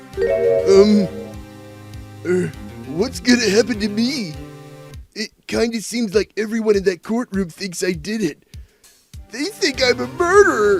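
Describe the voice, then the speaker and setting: Faint music plays behind a put-on character voice delivered at a fairly high pitch and a fairly slow pace. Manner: hesitant, stammering.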